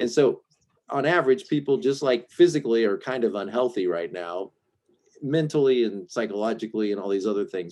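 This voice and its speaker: In a slight Southern US accent, the speaker moves at a fairly quick pace with lively intonation and a dark, mellow tone. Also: man. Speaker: Enneagram and relationship coach. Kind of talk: casual interview, coaching session.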